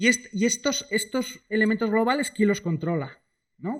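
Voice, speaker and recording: A man at a fairly quick pace. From Spain, Asturias (Cangas del Narcea). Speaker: economist, guest speaker. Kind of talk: lecture. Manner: fast; casual, many fillers.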